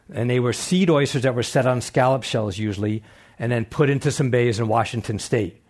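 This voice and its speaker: Fairly brisk male speech at mid-range pitch, its pitch rising and falling in a typical way. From Long Island, New York. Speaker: oyster farmer and marine biologist. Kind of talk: public talk with Q&A. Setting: stage with audience. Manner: fast.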